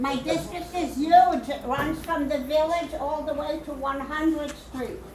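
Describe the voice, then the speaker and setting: This loud voice moves at a fairly slow pace with hardly any pauses and fairly even intonation. Noticeable background noise and audible room echo are present. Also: woman, high pitch for a woman. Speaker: political candidate. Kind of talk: campaign speech. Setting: meeting hall with audience. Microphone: no microphone.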